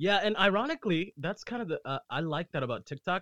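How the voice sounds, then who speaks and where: An unremarkable speaking voice moves at a fairly quick pace. The intonation is lively. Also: man. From US-born, Nicaraguan family; moved back and forth. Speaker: actor, musician and content creator. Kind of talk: casual chat.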